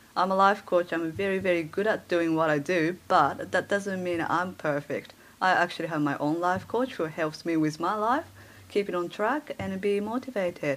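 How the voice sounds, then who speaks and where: With a Japanese accent, a woman speaks at a moderate pace and a fairly low pitch. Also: ordinary pitch variation. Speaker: life coach. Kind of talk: podcast interview.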